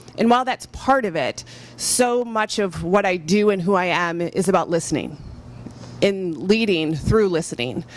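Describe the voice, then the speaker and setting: Speaking at a moderate pace with a normal speaking voice, a woman with an American accent uses lively intonation at a medium pitch. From Michigan. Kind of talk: panel discussion.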